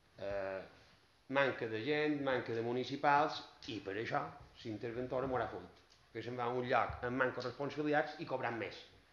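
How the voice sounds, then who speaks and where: The speech moves at a moderate pace with ordinary pitch variation. Audible room echo hangs around the voice. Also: man. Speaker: opposition councillor. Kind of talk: heated municipal council debate. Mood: critical, complaining. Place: meeting room.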